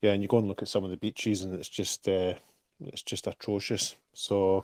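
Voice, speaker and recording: Over a silent background in a very clean recording, a man with a Scottish accent speaks at a fairly low pitch with fairly even intonation, the sound dry and close with no echo. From Scotland. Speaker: crypto project team member. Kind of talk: casual chat.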